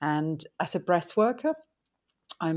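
Speech comes at a moderate pace with a Finnish accent. The recording is very clean, with a silent background. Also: woman. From Finland. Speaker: tantric sex and relationship coach. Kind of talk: interview.

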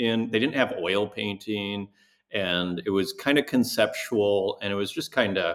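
Speaking at a fairly slow pace with a Canadian accent, a man uses a plain, everyday voice pitched fairly low, on a very clean recording with a silent background. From Saskatchewan, Canada (near Saskatoon). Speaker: digital artist. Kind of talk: interview conversation.

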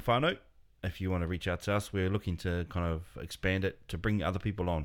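With a very deep, low pitch, a man talks on a very clean recording with a silent background. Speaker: podcast co-host. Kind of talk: casual chat.

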